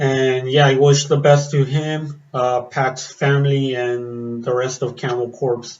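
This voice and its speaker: A man talks at a very slow pace in a monotone, flat intonation at medium pitch. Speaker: metal reaction vlogger. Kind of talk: casual vlog commentary. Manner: hesitant with many fillers.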